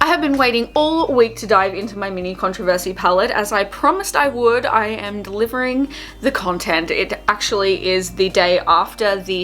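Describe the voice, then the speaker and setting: Over noticeable background noise, a woman in an Australian accent speaks at a moderate pace with lively intonation. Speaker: beauty vlogger. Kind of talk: makeup tutorial with casual chat. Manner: chatty, casual.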